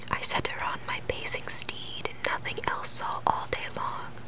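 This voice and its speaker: A woman whispers at a fairly slow pace while noticeable noise runs in the background. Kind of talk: poetry reading. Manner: whispered.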